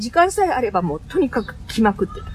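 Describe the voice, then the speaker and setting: Over noticeable background noise, a woman with a high pitch speaks at a fairly quick pace, her voice making very wide pitch swings. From Aichi, Japan (Kiyosu, near Nagoya). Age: 50s. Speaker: English conversation school owner. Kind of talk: interview. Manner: animated.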